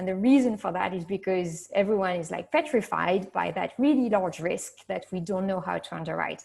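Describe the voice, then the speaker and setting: The voice carries vocal fry and ordinary pitch variation. Its pace is moderate. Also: woman, medium pitch for a woman. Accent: French. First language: French. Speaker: insurtech executive. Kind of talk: panel discussion.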